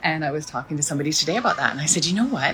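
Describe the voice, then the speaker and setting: Against noticeable background noise, a woman with a Canadian accent speaks in an animated tone with a very deep, low pitch and very wide pitch swings. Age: 60s. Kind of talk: casual social media video.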